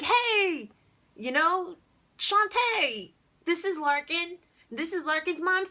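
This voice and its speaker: In a put-on character voice, a woman speaks squeaky and at an extremely high pitch, moving at a very slow pace with long, frequent pauses. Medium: solo performance. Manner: loud, jovial, over-the-top.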